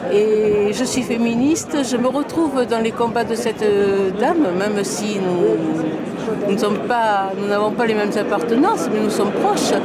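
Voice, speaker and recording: Amid audible room echo and crowd noise in the background, a woman speaks at a fairly slow pace with very even loudness, hardly any pauses and ordinary pitch variation. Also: fairly high pitch for a woman. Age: 70s. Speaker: protester interviewed at a rally. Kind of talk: street interview. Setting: outdoors. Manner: halting.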